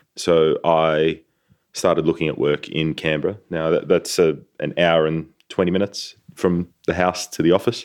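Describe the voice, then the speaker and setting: In a very clean recording with a silent background, a man with an Australian accent speaks at a moderate pace. His very deep, low voice keeps a fairly even intonation. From Sydney, Australia. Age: 30s. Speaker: organic garlic farmer. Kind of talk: interview, casual conversation.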